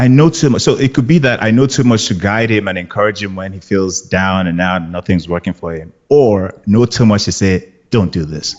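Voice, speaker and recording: A man with a Nigerian accent, fairly low in pitch with ordinary pitch variation, at a fairly quick pace with hardly any pauses. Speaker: actor. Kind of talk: casual chat. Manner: animated.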